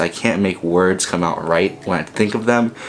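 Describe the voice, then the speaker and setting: A man talks at a fairly quick pace with a very deep, low pitch. His intonation is fairly even, and background noise is noticeable. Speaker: filmmaker and vlogger. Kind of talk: casual vlog monologue. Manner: fast.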